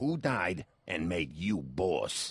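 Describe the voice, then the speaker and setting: A man puts on a growling character voice, pitched very deep and low. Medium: video game. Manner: brusque, questioning.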